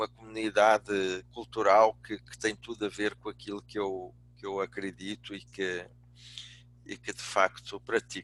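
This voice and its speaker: Speaking in a Portuguese accent, a man uses a fairly low pitch and monotone, flat intonation. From Portugal. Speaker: business speaker, executive and professor. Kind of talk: lecture.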